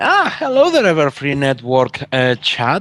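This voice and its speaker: In a Spanish accent, the speaker talks at a fairly slow pace. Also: man. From Spain. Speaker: artist. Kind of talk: casual chat. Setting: call.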